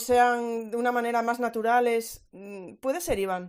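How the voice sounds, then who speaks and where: A woman with a high pitch and a slight Galician accent. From Galicia, Spain. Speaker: education podcast host. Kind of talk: online panel discussion. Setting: Twitter Space audio chat. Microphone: variable volume, low quality recording.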